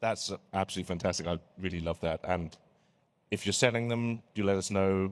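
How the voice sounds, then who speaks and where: A man with a British accent, a very deep, low pitch and fairly even intonation, on a very clean recording with a silent background. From Britain. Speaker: panel moderator. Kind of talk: conference panel talk. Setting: stage with audience.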